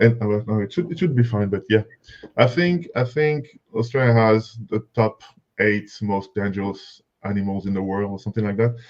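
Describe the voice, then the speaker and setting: This man's pitch is fairly low with ordinary variation. He talks at a moderate pace. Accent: strong French. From France, Paris. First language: French. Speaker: software company representative. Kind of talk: webinar presentation. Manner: halting, many fillers and repetitions.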